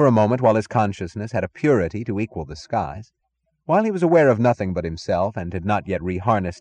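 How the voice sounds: A natural reading voice with lively intonation, over a quiet background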